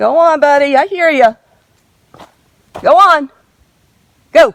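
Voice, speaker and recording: A woman speaks loudly and fairly slowly in a high voice with ordinary pitch variation. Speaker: hiker vlogger. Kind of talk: outdoor vlog narration. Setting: outdoors on a mountain trail. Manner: loud to warn a bear.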